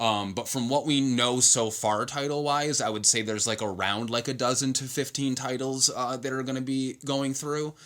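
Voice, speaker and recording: A man with a medium-pitched voice speaks at a moderate pace, with fairly even intonation and hardly any pauses. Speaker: comics video creator. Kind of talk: casual solo talk show. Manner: halting, many fillers.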